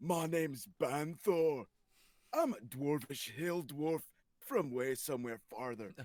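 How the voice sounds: A man puts on a character voice, pitched fairly high, and delivers it at a fairly slow pace.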